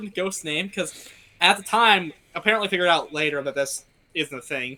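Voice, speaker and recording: A man speaks at a very fast pace in a raised, projected voice, his intonation lively and his tone bright and sharp. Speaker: podcast co-host. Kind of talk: casual chat. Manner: rambling, filler-heavy delivery.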